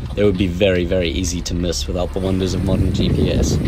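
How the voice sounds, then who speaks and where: A man speaks at a fairly quick pace with ordinary pitch variation. Loud background noise is present. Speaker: sailing vlogger narrator. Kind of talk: narrated travel voice-over.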